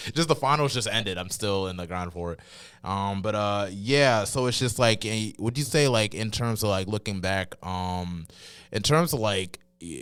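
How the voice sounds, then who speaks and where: A man with a fairly low pitch speaks with a slight Carolina accent. The recording is very clean, the background silent. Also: ordinary pitch variation. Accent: slight Carolina drawl. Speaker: podcast host. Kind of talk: casual interview.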